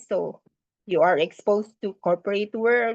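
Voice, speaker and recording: A woman speaks fairly slowly in a plain, everyday voice at a medium pitch. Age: 60s. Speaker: permaculture teacher. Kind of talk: lecture.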